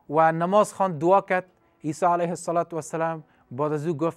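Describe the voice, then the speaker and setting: Against a quiet background, this man talks at a moderate pace. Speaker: religious teacher on TV. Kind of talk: religious storytelling lecture. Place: studio. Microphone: lapel.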